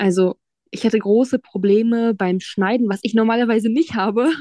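A woman's dark, mellow tone at a moderate pace, with fairly even intonation and a dry, close sound with no echo. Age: 20s. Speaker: psychology student, blind. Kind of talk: interview. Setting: video call.

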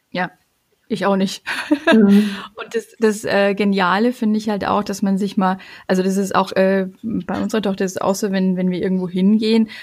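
Her intonation stays monotone and flat. The woman keeps a moderate pace. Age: 40s. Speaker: family coach. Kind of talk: personal testimony. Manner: hesitant, many fillers.

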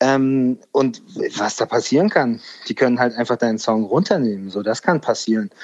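A man with an unremarkable speaking voice talks at a moderate pace and a medium pitch, with ordinary pitch variation. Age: 40s. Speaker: music industry A&R manager. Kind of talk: casual interview chat. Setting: remote call.

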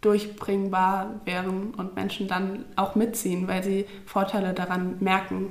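A woman talks at a very slow speed, her words carrying audible room echo with noticeable background noise behind them. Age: 20s. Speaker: climate activist, psychology student. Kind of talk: casual interview.

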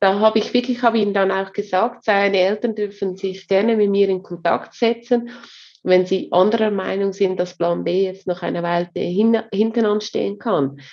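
Intonation stays fairly even. The speech moves at a moderate pace. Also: woman, medium pitch for a woman. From Switzerland. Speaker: HR coach and consultant. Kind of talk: interview.

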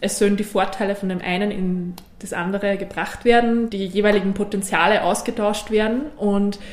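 Amid audible room echo and noticeable background noise, a woman of medium pitch talks at a moderate pace. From Austria, Innviertel (Upper Austria). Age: 20s. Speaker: member of a multilocal network. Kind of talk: interview.

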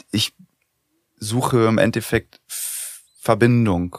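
With an unremarkable speaking voice, a man talks at a fairly low pitch and with fairly even intonation in a dry, close sound with no echo. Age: 30s. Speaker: podcast host. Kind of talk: casual chat.

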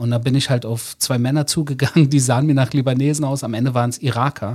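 In a normal speaking voice, a man talks at a moderate pace on a very clean recording with a silent background. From Germany, Berlin (Wedding). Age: 40s. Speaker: author. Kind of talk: interview. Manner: conversational, with fillers.

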